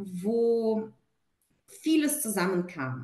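A woman speaks in a somewhat breathy, fairly high voice. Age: 30s. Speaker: client and corporate manager. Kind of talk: testimony. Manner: hesitant with fillers.

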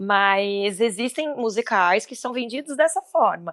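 A woman speaks with lively intonation and an animated tone. The recording is very clean, with a silent background and a dry, close sound with no echo. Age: 30s. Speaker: musical theatre actress. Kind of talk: casual chat.

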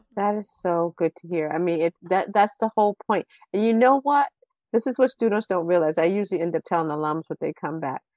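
With a plain, everyday voice, a woman in an American accent speaks at medium pitch with ordinary pitch variation, in a dry, close sound with no echo. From Washington D.C. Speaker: school educator and mentor, former veterinarian. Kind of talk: casual interview.

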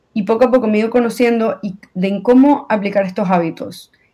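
A woman speaks with a dark, mellow tone at a fairly high pitch, with ordinary pitch variation. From Venezuela. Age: 20s. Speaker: accident survivor. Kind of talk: testimony.

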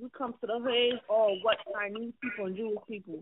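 With ordinary pitch variation, a woman speaks at a fairly quick pace and a fairly high pitch.

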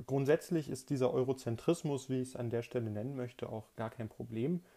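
A dark, mellow tone with fairly even intonation. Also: man. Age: 20s. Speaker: podcast host, politics student. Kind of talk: solo podcast monologue, scripted. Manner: formal.

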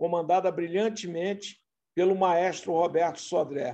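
A man speaks at a fairly slow pace with high pitch and a dark, mellow tone. His intonation stays fairly even. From interior of Rio de Janeiro state (Itaocara). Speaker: carnival club president. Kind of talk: interview.

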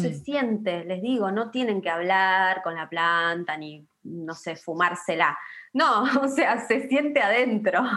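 A woman with an Argentine accent talks at a fairly slow pace, her medium pitch carried by lively intonation. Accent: Argentine Spanish (rioplatense voseo). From Patagonia, Argentina (Río Negro). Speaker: pharmacist and herbal medicine practitioner. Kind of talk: casual interview chat.

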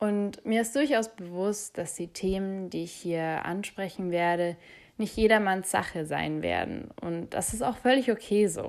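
In a normal speaking voice, a woman holds a medium pitch and varies it in an ordinary way. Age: 20s. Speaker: podcast host. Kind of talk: podcast monologue.

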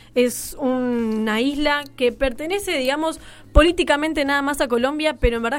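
The delivery has ordinary pitch variation and a moderate pace. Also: woman. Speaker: communication student, radio newcomer. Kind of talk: radio show chat.

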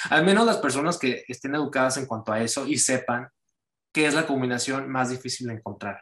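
A man with an ordinary speaking voice talks at a fairly quick pace, with medium pitch and ordinary pitch variation. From Mexico, Cancún. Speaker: writer. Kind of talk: casual chat.

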